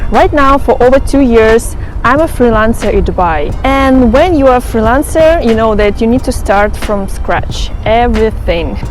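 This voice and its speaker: A woman's fairly high voice with ordinary pitch variation and very even loudness, at a moderate pace with hardly any pauses, amid audible room echo and noticeable background noise. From Ukraine. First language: Russian or Ukrainian. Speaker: vlogger, former flight attendant. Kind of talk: vlog monologue.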